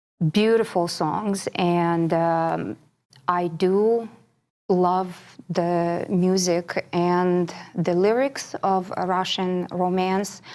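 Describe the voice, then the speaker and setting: On a very clean recording with a silent background, a woman with a Ukrainian accent speaks very slowly at medium pitch with fairly even intonation. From Ukraine. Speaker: classical singer. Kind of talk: interview.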